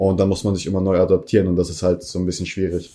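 At a very fast pace, the voice comes through in a dark, mellow tone. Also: man. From Germany. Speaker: professional esports player. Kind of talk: casual interview. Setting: at home.

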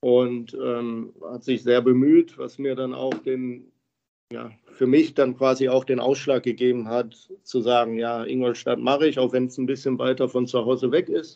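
The voice has a dark, mellow tone and monotone, flat intonation at a moderate pace. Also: man, medium pitch for a man. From Germany, Krefeld (Lower Rhine). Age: 30s. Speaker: professional ice hockey player. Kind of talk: interview. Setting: remote call from home. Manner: halting.

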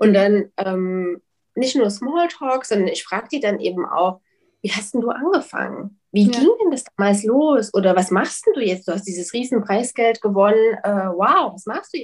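Using a normal speaking voice, a woman talks at a moderate pace with a fairly high pitch, lively intonation and big swings in loudness. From Leipzig, Saxony, Germany. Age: 30s. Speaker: publisher. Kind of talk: interview.

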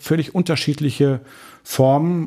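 In a very clean recording with a silent background, a man with a plain, everyday voice talks at a moderate pace, fairly high in pitch with ordinary pitch variation. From Dortmund, Germany. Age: 40s. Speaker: pastor. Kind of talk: interview.

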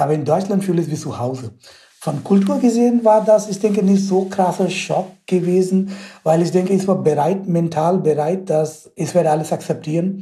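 Speaking at a moderate pace with an Indian accent, a man has a high pitch, a dark, mellow tone and ordinary pitch variation. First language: Indian language (speaking German). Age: 30s. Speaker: mechanical engineering researcher. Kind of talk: interview. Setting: video call.

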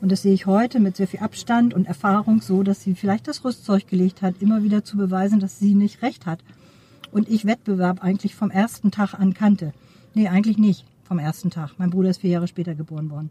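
A woman with a normal speaking voice at a medium pitch, ordinary pitch variation and a fairly quick pace, the sound dry and close with no echo. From Schleswig-Holstein, Neumünster. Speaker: supervisory board member and professor. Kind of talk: interview. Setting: outdoors at a conference.

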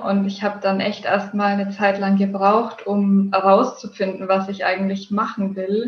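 A woman with a somewhat breathy voice talks at a fairly slow pace. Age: 20s. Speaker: yoga teacher and blogger. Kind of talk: podcast interview.

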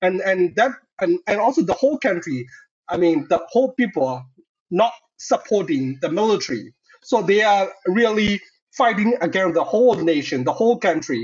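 Delivered at a moderate pace with a Burmese accent, the speech has very wide pitch swings and very even loudness. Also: man. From Myanmar. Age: 30s. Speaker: doctoral researcher and human rights activist. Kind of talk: podcast interview.

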